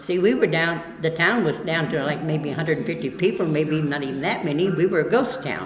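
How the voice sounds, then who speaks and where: A woman with a very deep, low pitch talks at a fairly quick pace with hardly any pauses and ordinary pitch variation, amid audible room echo and noticeable background noise. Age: 80s+. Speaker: town storyteller. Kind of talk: documentary interview.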